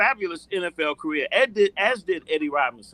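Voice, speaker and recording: At a fairly quick pace, a man speaks in a raised, projected voice, high-pitched with a bright, sharp tone and a dry, close sound with no echo. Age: 60s. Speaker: sports commentator. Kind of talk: casual chat.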